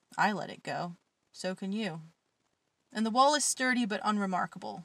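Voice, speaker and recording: The woman's tone is intense, and her pace is moderate. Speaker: podcast host and poet. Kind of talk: poetry reading, spoken word. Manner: dark, intense, raw, cutting delivery in the poems; self-deprecating, casual chat between poems.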